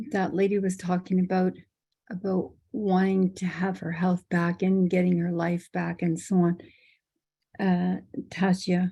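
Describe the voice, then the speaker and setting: A woman of medium pitch speaks at a fairly slow pace in a dark, mellow, somewhat breathy tone, with monotone, flat intonation. Long, frequent pauses run through a very clean recording with a silent background. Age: 70s. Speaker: workshop participant. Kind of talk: audience question. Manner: halting.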